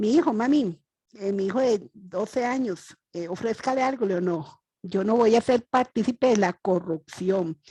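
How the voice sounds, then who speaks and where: In a Costa Rican accent, a woman speaks at a fairly slow pace and a fairly high pitch, somewhat breathy, with lively intonation, a dark, mellow tone, and a dry, close sound with no echo. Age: 60s. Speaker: audience member asking a question. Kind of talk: Q&A question at a webinar. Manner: halting, many fillers.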